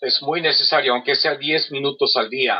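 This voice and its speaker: A man with an English accent and a fairly high pitch. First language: English (speaking Spanish). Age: 40s. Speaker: carpet cleaner and polyglot. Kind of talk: interview. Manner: halting, many fillers.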